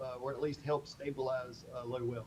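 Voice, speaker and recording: At a moderate pace, a man speaks with noticeable background noise around him. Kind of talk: public meeting answer. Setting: county board meeting room. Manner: speaking loudly, almost shouting.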